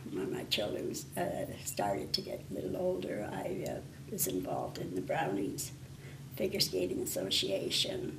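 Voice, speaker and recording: A woman at a medium pace is heard with noticeable background noise and audible room echo. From northwestern Ontario, Canada (Thunder Bay). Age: 80s+. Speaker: retired librarian. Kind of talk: interview. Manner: hesitant, with fillers.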